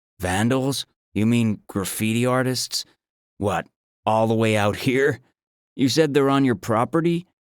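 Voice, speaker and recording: A man uses a put-on character voice at medium pitch and a moderate pace. He leaves long, frequent pauses on a very clean recording with a silent background. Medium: read story. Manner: rude, impatient, dismissive.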